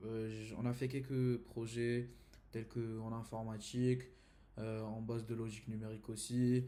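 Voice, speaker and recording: A man with a dark, mellow tone and medium pitch talks at a moderate pace. His intonation is fairly even, and room echo is audible. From Saudi Arabia. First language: Arabic (speaking French). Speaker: university student. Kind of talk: class presentation. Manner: halting, many hesitations.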